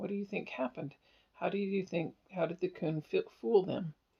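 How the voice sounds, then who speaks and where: This man uses a put-on character voice that is raspy and high-pitched. He talks at a moderate pace. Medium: read story. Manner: eager, fidgety.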